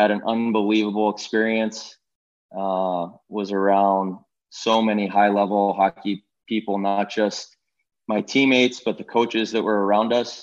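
A man with an American accent speaks at a moderate pace. His voice is fairly low. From Pittsburgh, Pennsylvania. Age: 30s. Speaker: hockey executive and former goalie. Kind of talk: interview.

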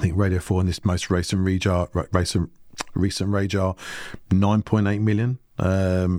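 This man has a British accent and a very deep, low voice with a dark, mellow tone. His intonation is monotone and flat, and the recording is very clean with a silent background. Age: 50s. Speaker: marketing company CEO. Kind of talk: podcast interview.

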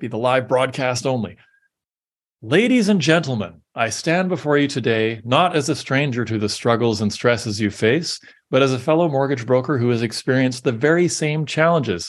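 A man speaks in an ordinary speaking voice at a moderate pace. His pitch is medium with ordinary variation, over a quiet background. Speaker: podcast host. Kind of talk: reading aloud an AI-written pep talk, with ad-libbed asides. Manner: earnest, rallying podium delivery; dry, wry asides between lines.

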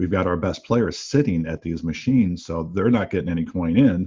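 Very deep, low male voice delivered at a moderate speed. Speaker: slot analytics executive. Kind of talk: business podcast discussion. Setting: remote call.

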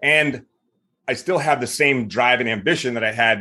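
In an American accent, a man speaks at a fairly quick pace and medium pitch with ordinary pitch variation and a bright, sharp tone over a quiet background. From US South, Mississippi. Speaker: retired military veteran, business founder. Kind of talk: casual interview.

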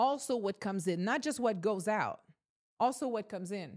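An energetic woman's voice at a medium pitch and moderate pace, with ordinary pitch variation and a very clean recording on a silent background. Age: 30s. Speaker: podcast host and realtor. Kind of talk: motivational monologue.

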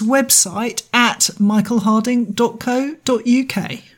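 A woman's somewhat breathy voice holds a fairly even intonation. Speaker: podcast host and artist. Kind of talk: casual conversational podcast discussion.

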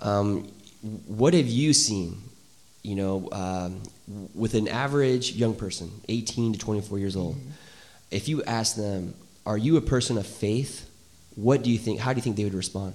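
Amid audible room echo, a man with a fairly low pitch speaks at a moderate pace, with long, frequent pauses. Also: ordinary pitch variation. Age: 30s. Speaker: church podcast host. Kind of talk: casual interview. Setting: church with small live audience.

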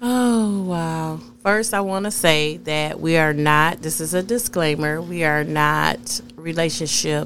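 In an American accent, a woman with a very deep, low pitch speaks very slowly with hardly any pauses and ordinary pitch variation, amid audible room echo. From US Midwest (Flint, Michigan). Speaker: podcast co-host. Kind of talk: casual chat.

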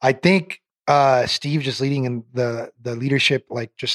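A man with an American accent speaks at a medium pitch, with an unremarkable speaking voice. His intonation stays fairly even, and the sound is dry and close with no echo. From US Pacific Northwest (Portland, Oregon). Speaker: sales executive. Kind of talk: casual interview. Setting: studio.

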